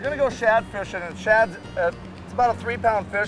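Over clear background music, a man talks very fast with fairly even intonation in a dry sound with no echo. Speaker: fishing guide. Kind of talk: interview answer. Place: boat.

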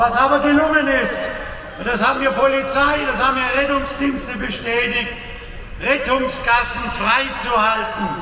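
A man with an extremely high pitch uses a raised, projected voice at a fairly slow pace, in a monotone, flat intonation and very even loudness, with audible room echo and noticeable background noise. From Germany. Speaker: farmers' association president. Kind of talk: rally speech. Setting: outdoor rally stage. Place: street.

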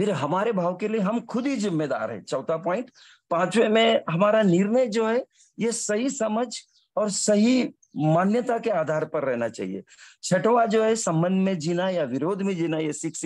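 There is a man with a high pitch and lively intonation. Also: quiet background. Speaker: engineering professor. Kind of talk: testimony. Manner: animated.

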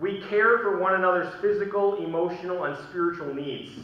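A man speaks in a high voice. There is audible echo in the room. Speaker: pastor. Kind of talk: sermon. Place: church. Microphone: podium.

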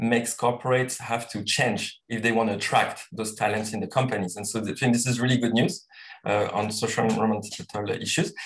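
Over a quiet background, a man talks at a fairly quick pace in a somewhat breathy voice with ordinary pitch variation. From Tahiti, French Polynesia. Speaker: social entrepreneur. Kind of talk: panel discussion. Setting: video call. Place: home room. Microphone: video call.

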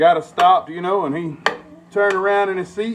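The speech comes at a fairly quick pace, with light background noise behind it. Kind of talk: casual storytelling while cooking. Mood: amused, laid-back. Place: kitchen. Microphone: phone near.

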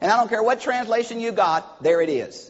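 An animated man with a Southern US accent, extremely high-pitched, at a moderate pace. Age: old. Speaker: preacher. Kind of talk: sermon. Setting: church. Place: church. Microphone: lapel.

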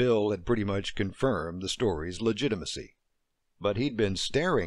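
Against a quiet background, a passage is given plain reading aloud.

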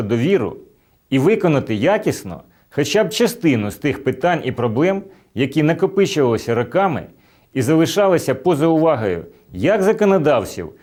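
The speaker uses vocal fry at a moderate pace, with very wide pitch swings. The recording is very clean, with a silent background. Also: man. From Ukraine, Chernihiv. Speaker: election candidate. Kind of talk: campaign address.

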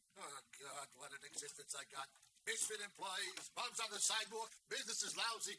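At a moderate pace, a man talks over noticeable background noise. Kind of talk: acted film dialogue. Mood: exasperated, complaining. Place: shop.

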